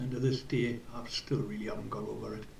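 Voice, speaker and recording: Audible room echo around a man's medium-pitched voice with ordinary pitch variation. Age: 60s. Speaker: football club volunteer. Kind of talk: personal reflection.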